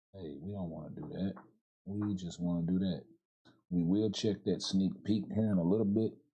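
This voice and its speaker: In a very deep, low voice, a man speaks at a moderate pace with ordinary pitch variation. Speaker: video game live streamer. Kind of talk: casual gameplay livestream commentary. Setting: live stream. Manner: casual, filler-heavy.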